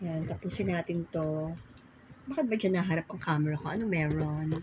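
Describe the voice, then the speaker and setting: A woman with a very deep, low pitch speaks at a moderate pace with ordinary pitch variation over noticeable background noise. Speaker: vlogger. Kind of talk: casual vlog chat. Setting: at home folding laundry.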